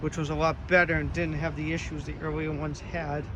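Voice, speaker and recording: A man with a Boston accent at a very fast pace, with audible room echo and noticeable background noise. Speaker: car dealer. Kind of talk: sales walkaround video. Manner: enthusiastic.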